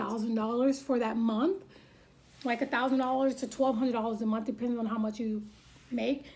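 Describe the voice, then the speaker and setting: A woman speaks with a high voice. Her pace is fairly quick. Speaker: vlogger giving home-buying advice. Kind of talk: tutorial. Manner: fast; forceful.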